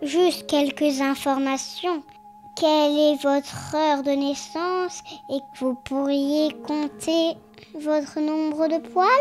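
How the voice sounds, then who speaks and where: A cartoonish, high-pitched character voice at a fairly slow pace, with clear music in the background. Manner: solemn, theatrical.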